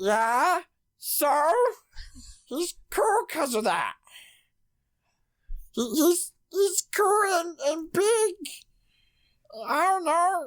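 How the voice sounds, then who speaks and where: A put-on character voice at an extremely high pitch, very slow, with long, frequent pauses. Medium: actual play. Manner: blunt, doubting.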